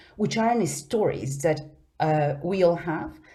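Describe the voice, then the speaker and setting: A woman speaks at a fairly low pitch in a dark, mellow tone. Audible room echo surrounds her voice. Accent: Spanish. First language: Spanish. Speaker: conference speaker. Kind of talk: conference presentation. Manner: halting.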